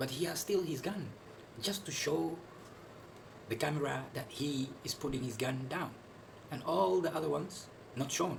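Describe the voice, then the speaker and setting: Speech comes at a moderate pace with lively intonation, broken by long, frequent pauses. The room echo is audible, and there is noticeable background noise. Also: man, fairly high pitch for a man. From Netherlands. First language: Dutch. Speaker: video commentator. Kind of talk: video commentary. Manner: halting, many fillers and repetitions.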